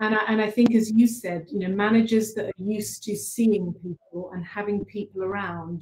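A dark, mellow, somewhat breathy voice with fairly even intonation and audible room echo. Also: woman. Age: 50s. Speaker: organizational culture consultant; panelist. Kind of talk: panel discussion. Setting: video call. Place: office. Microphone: video call.

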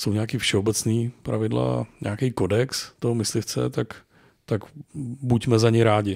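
A man's unremarkable speaking voice, fairly low in pitch, at a fairly slow pace with ordinary pitch variation, in a very clean recording with a silent background. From Czech Republic, rural forest lodge. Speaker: competitive hunting rifle shooter and hunter. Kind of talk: casual chat.

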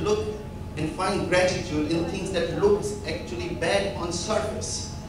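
A man with a high voice talks over clear background noise, with audible room echo.

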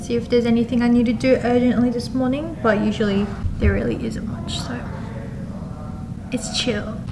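A woman talks at a moderate pace, leaving long, frequent pauses, with noticeable background noise behind her. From South Korea. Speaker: office worker vlogger. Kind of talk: casual talk to camera. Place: office.

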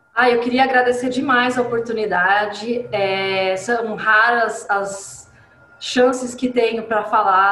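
A woman with a caipira accent at a fairly slow pace, ordinary pitch variation, light background noise and audible room echo. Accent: caipira accent (rolled r), proud of it. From interior of São Paulo state (Paulínia); São Paulo, Brazil. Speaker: coffee journalist and communicator; interviewee. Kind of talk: interview. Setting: video call. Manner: animated. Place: home room. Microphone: video call.

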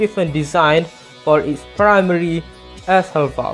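Speaking at a fairly slow pace with a Malay accent, the voice comes with music in the background. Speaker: gas mask collector. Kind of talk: educational narration.

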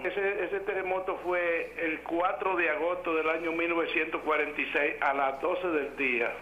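A man's high voice at a moderate pace and very even loudness, over noticeable background noise. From Dominican Republic, Moca. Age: 80s+. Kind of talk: phone call-in, personal recollection. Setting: phone line.

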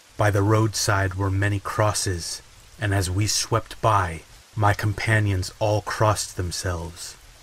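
A man with a fairly low pitch speaks in a theatrical tone at a fairly slow pace. His intonation is monotone and flat, and there is noticeable background noise. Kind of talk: dramatic audiobook-style narration of a gothic novel, read aloud with rain sounds. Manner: slow, hushed and atmospheric, building suspense with a measured, theatrical pace; soothing and relaxing, as promised by the rain-backed narration.

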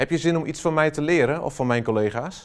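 Over a quiet background, a man speaks at a moderate pace. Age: 40s. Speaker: software trainer and consultant; software trainer. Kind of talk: company promo self-introduction. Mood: warm, enthusiastic. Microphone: lapel.

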